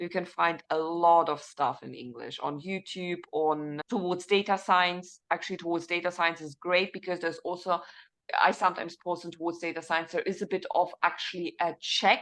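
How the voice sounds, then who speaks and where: Over a quiet background, a woman speaks at a moderate pace with a fairly low pitch and fairly even intonation. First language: not English (English is third language). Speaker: data scientist and teacher. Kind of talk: panel interview.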